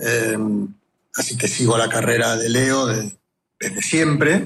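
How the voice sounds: There is audible room echo on this man's voice. His tone is fairly bright.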